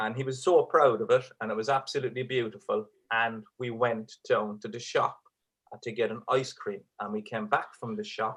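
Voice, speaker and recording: His pace is moderate. The man talks with an Irish accent. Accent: Irish, kept despite living in England. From Ireland. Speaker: stand-up comedian. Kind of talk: stand-up; charity appeal, thanks. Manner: hesitant, many fillers and repeats; keeping voice down so kids stay asleep.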